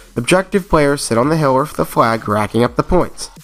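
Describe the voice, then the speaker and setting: Music plays in the background. A man is speaking. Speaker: aspiring mobile esports gamer. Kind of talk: gaming tutorial narration.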